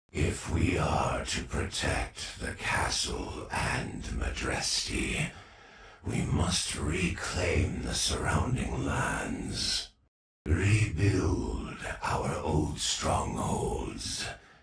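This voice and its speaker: A man whispers in a raspy, put-on character voice. He goes at a very slow pace, with a slight echo. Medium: video game. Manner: whispering, commanding.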